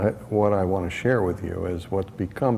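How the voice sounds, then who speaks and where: A man speaks at a moderate pace. His pitch is very deep and low, with ordinary variation. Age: 70s. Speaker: spiritual teacher. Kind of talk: talk to retreat participants. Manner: casual, conversational with fillers.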